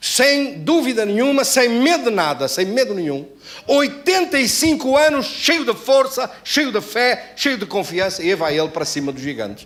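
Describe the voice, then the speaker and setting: The voice moves at a moderate pace with very wide pitch swings over noticeable background noise. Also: man, extremely high pitch for a man. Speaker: pastor. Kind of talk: sermon. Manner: animated.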